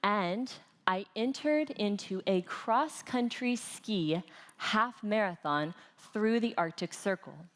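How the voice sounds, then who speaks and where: With an American accent, a woman at a medium pitch talks at a very slow pace, using lively intonation and very even loudness. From United States. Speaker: conference speaker, trainer. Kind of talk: conference talk.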